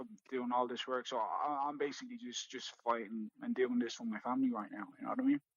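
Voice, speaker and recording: Someone with an Irish accent talks at a very fast pace with hardly any pauses. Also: man. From South Africa (Johannesburg, Port Elizabeth). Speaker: MMA fighter. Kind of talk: podcast interview. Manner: repetitive, stammering restarts.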